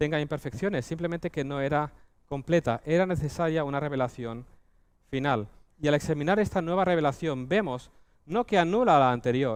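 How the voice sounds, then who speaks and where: This is an ordinary speaking voice: a man at a fairly high pitch, speaking fairly quickly with ordinary pitch variation. The background is quiet. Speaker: preacher. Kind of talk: sermon. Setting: church.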